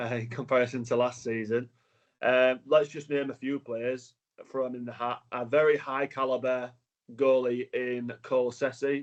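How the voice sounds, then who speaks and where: In a northern English accent, a man speaks at a fairly slow pace with monotone, flat intonation. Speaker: sports interviewer. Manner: hesitant, many fillers.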